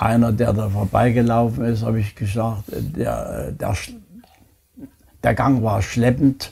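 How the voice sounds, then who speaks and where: The pace here is very slow. A man speaks, with ordinary pitch variation. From Chemnitz, Saxony, Germany; Saxony, Germany. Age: 90s. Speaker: Holocaust survivor. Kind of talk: interview answer. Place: home room.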